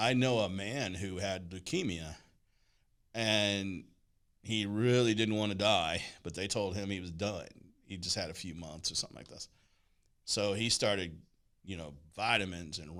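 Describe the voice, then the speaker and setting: A man with a fairly low voice and ordinary pitch variation talks at a moderate pace, with long, frequent pauses, big swings in loudness, and audible room echo. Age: 60s. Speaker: talk show host. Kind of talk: casual chat.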